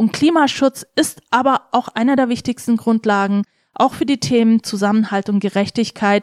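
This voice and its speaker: A woman's fairly high pitch with ordinary variation, in a dry, close sound with no echo. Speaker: politician. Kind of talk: interview. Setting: studio. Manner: animated.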